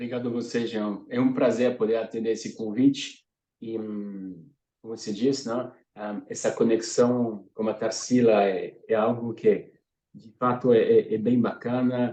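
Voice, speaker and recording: Speaking fairly slowly with a French accent, a man uses a medium-pitched, dark, mellow tone, his intonation flat and monotone while his loudness swings widely. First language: French (speaking Portuguese). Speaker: sustainability consultant. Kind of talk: webinar presentation. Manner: hesitant, many fillers.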